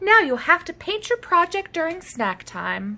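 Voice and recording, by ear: A woman uses a put-on character voice with a bright, sharp tone and extremely high pitch. She moves at a fairly slow pace with big pitch swings.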